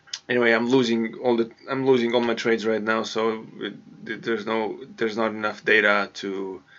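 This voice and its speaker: A medium-pitched man with a non-native accent talks at a moderate pace with hardly any pauses and monotone, flat intonation. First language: not English. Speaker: forex trader vlogger. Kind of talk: screen-share trading tutorial. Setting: home hallway. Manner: halting, many repetitions.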